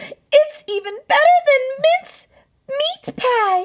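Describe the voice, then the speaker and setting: A female-sounding voice, squeaky and extremely high, is a put-on character voice. It moves at a very slow pace. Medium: read story.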